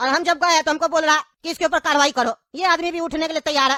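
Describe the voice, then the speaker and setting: A man's cartoonish character voice at a very fast pace. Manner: colloquial, weary, reasoning.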